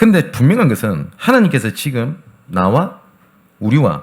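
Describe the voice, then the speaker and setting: This man's voice swings very widely in pitch. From Gyeongsang region, South Korea. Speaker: pastor. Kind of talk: sermon.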